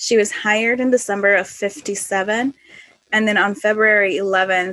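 In a Spanish accent, a woman speaks fairly slowly at a medium pitch with fairly even intonation. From Northwest Indiana, US. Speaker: flight attendant podcast host. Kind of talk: casual chat.

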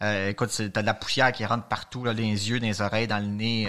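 A man with a Quebec accent speaks at medium pitch in a bright, sharp tone. His pace is fairly quick and his intonation monotone and flat. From Quebec, Montreal. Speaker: mountaineer. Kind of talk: casual interview.

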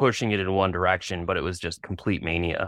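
A man with a Canadian accent speaks at a fairly quick pace in a very deep, low voice, his intonation fairly even, the sound dry and close with no echo on a very clean recording with a silent background. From Canada, British Columbia (Kelowna). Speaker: tattoo artist. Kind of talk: casual interview.

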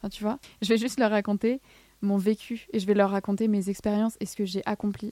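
A woman speaks at medium pitch with a dark, mellow tone. Her intonation is monotone and flat, and the sound is dry and close with no echo. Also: fairly quick pace. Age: 20s. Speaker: student and alopecia advocate. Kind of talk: testimony. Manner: casual.

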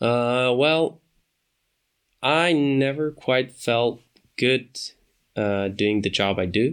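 A man speaks at a very slow pace with long, frequent pauses, his medium-pitched voice showing ordinary pitch variation and very even loudness on a very clean recording with a silent background. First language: not English. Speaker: podcast host. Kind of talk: casual solo monologue. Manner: hesitant, many fillers.

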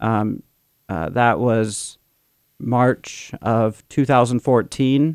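On a very clean recording with a silent background, a man's medium-pitched voice comes through dry and close with no echo and fairly even intonation. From Sacramento, California. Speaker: mission chaplain. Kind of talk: testimony.

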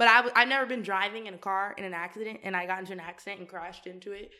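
In a very clean recording with a silent background, a woman with an American accent speaks at a very fast pace and medium pitch, with a bright, sharp tone and ordinary pitch variation. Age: 20s. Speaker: podcast co-host. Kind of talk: casual chat.

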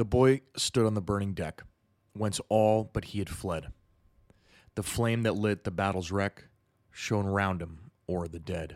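A man with a fairly low pitch and ordinary pitch variation speaks in a solemn, dramatic tone at a fairly slow pace, with long, frequent pauses, on a very clean recording with a silent background and a dry, close sound with no echo. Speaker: podcast host. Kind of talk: history documentary narration. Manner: solemn, measured storytelling, dramatic and vivid.

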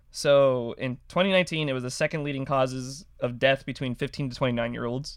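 A plain, everyday voice from a man, fairly high in pitch and fairly quick, in a very clean recording with a silent background. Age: 20s. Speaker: podcast host. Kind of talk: casual chat.

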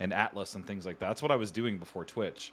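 In a plain, everyday voice, a man speaks at a fairly low pitch with ordinary pitch variation on a very clean recording with a silent background. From Canada. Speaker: streamer. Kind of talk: casual interview chat.

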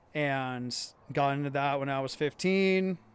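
Set in a very clean recording with a silent background, a man with an American accent uses a normal speaking voice at a fairly high pitch and fairly even intonation. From US Pacific Northwest.

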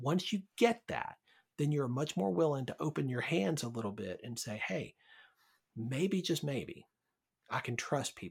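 With very wide pitch swings and a somewhat breathy quality, the voice moves at a fairly slow pace, broken by long, frequent pauses. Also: man, fairly high pitch for a man, very clean recording, silent background. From US South, Birmingham, Alabama. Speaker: pastor. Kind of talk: casual chat.

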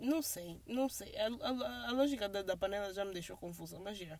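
A woman speaks with a Portuguese accent in a dark, mellow tone. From Angola (Luanda). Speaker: podcast host. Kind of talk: casual monologue. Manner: fast; code-switching Portuguese and English.

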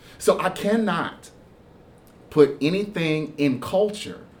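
A man speaks with an American accent. Audible room echo surrounds his voice. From Houston, Texas. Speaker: pastor. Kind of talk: interview about faith. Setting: church. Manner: repetitive, stammering restarts.

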